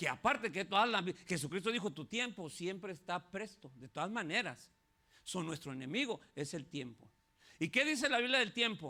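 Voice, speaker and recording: A man raises and projects his high voice, with very wide pitch swings. His pace is moderate. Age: 60s. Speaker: pastor. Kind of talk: sermon. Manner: animated.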